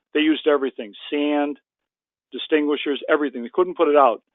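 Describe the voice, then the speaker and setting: Words tumble out of this man very quickly. He sits fairly high in pitch. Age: 70s. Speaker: retired state trooper and suicide-prevention advocate. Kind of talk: interview. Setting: webinar call. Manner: animated.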